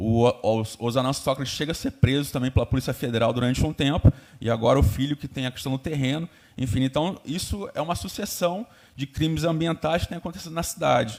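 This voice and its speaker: A man's fairly high pitch at a fairly quick pace, with ordinary pitch variation. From Brazil, Cabo Frio (Rio de Janeiro state). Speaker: environmental activist. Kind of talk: public hearing speech. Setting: public hearing. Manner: fast; hesitant fillers.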